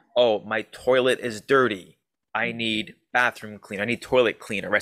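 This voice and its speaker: A medium-pitched man with a Canadian accent and a bright, sharp tone speaks at a moderate pace with ordinary pitch variation, captured in a very clean, dry, close recording with no echo and a silent background. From Ontario, Canada. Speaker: online fitness coach, co-host. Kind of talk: casual chat.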